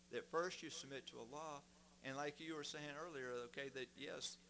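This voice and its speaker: With a Southern US accent, a man talks at a fairly quick pace in a bright, sharp tone with ordinary pitch variation. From US South, Mississippi. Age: 60s. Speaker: guest speaker. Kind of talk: testimony.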